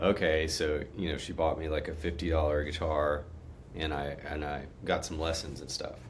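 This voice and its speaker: A man's very deep, low, somewhat breathy voice in a Texan accent, with flat monotone intonation, a moderate pace and audible room echo. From Texas, Conroe near Houston. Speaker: guitar player. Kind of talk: interview conversation.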